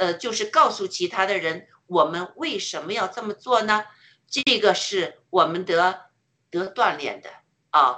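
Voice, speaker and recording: Her tone bright and sharp, a woman speaks at a fairly slow pace and a medium pitch with lively intonation. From China. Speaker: participant in online worship. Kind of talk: testimony. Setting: online audio room. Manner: halting, many fillers.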